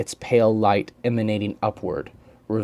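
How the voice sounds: Just a natural reading voice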